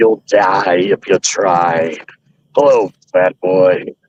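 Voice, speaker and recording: A man puts on a character voice, raspy and with a very deep, low pitch. He speaks at a very slow pace. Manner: sinister, taunting.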